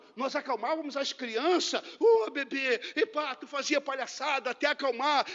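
A man speaks in an animated tone at an extremely high pitch. His pace is moderate and his pitch varies in an ordinary way. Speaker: preacher. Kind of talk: sermon. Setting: church.

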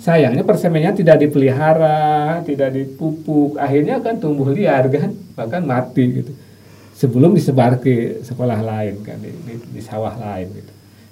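Amid audible room echo, a man with a fairly high pitch and a dark, mellow, somewhat breathy tone talks at a moderate pace with lively intonation and big swings in loudness. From West Java, Sumedang. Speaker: university lecturer. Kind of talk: interview.

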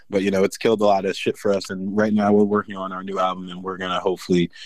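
At a very fast pace, a man with a fairly low pitch talks in an American accent. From New Jersey, US. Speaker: metal vocalist. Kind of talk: casual chat.

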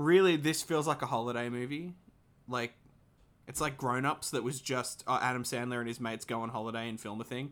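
A man with an ordinary speaking voice talks at a medium pitch and fairly quick pace, with ordinary pitch variation. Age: 20s. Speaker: podcast co-host. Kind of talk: casual chat.

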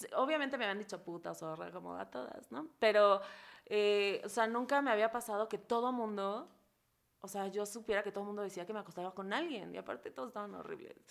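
A woman at medium pitch talks very fast with lively intonation on a very clean recording with a silent background. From Mexico, Acapulco, Guerrero. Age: 30s. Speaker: comedian. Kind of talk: casual chat.

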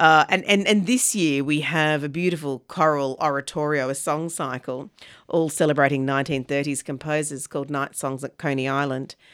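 In an Australian accent, a woman with a very deep, low pitch talks at a moderate pace with hardly any pauses on a very clean recording with a silent background. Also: fairly even intonation. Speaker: arts festival director. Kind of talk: radio interview.

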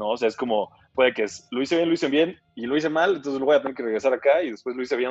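A man rattles along at a very fast pace, his pitch fairly high. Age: 20s. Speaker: entrepreneur. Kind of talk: casual chat.

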